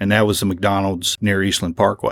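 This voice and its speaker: In a very clean recording with a silent background and a dry, close sound with no echo, a man with a very deep, low voice talks fairly quickly in a Kentucky accent. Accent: Kentucky (US South). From Lexington, Kentucky. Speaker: librarian and local historian. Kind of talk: lecture.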